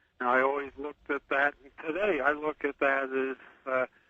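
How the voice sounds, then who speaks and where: The man's voice sits fairly high in pitch. He keeps his intonation fairly even. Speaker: engineer and author. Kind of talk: phone interview. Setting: phone call. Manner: terse.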